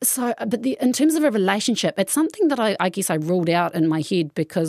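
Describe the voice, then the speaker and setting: A woman with a New Zealand accent talks at a very fast pace. The recording is very clean, with a silent background. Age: 30s. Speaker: interviewee. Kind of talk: interview. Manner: halting.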